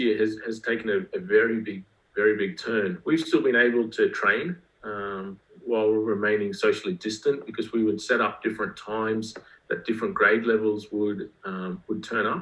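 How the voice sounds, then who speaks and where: In an Australian accent, a man talks at a medium pitch and a moderate pace. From Australia, rural Queensland. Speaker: school athletics director. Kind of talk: podcast interview.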